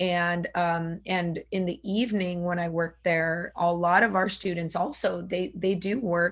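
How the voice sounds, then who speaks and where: Speaking with hardly any pauses, a woman has an unremarkable speaking voice, a fairly low pitch and fairly even intonation. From US (grew up as farmworker family child, born in Mexico). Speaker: former student leader, educator. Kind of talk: interview.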